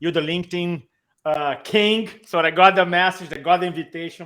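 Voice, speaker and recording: A man talks in a Brazilian Portuguese accent. His pace is moderate and his intonation fairly even. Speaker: public speaking coach. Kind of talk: live-streamed interview.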